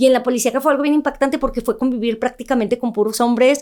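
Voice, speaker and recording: A woman speaks at a high pitch. Her intonation is flat and monotone. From northern Mexico, Ciudad Juárez. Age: 30s. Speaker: journalist and news presenter. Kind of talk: interview testimony. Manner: firm.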